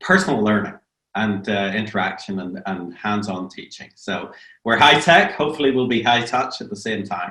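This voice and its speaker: A man talks at a moderate pace with ordinary pitch variation and a bright, sharp tone. His loudness swings widely, and audible room echo surrounds his voice. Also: fairly low pitch for a man. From Northern Ireland. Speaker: business professor. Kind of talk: online lecture. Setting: video webinar. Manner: hesitant, many fillers.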